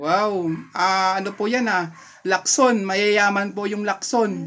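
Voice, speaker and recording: Speaking at a very slow pace, a man with a high pitch and a bright, sharp tone keeps his intonation fairly even. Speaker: vlogger visiting senior citizens. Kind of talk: casual interview with elder. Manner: polite, patient.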